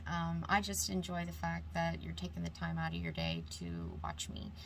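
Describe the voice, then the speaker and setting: A woman with a very deep, low voice talks with hardly any pauses, with music in the background and audible room echo. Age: 40s. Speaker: beauty YouTuber. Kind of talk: makeup tutorial. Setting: alone at home vanity, talking to camera. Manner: halting, stumbling over words.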